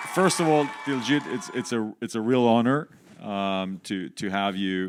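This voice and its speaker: With lively intonation, a man speaks at a medium pitch and a fairly slow pace. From Canada. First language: not English. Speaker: music industry executive. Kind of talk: interview on stage. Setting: stage with audience.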